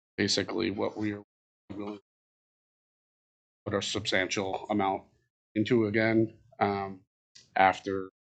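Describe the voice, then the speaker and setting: The man's fairly low voice is monotone and flat, captured with a dry, close sound with no echo. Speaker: youth hockey association director. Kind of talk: public comment at city board meeting. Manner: loud.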